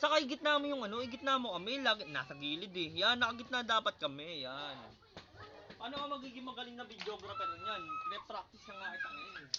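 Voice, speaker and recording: A man talks very fast at an extremely high pitch, with very wide pitch swings and big swings in loudness. Noticeable background noise runs underneath. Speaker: amateur barber vlogger. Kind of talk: casual vlog tutorial.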